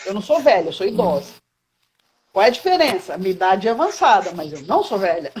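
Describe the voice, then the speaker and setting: Her somewhat breathy voice swings very widely in pitch as the woman talks at a moderate pace. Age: 60s. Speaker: caregiver advocate, online live host. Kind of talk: casual live chat. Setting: Instagram live video call. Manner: halting, many repetitions.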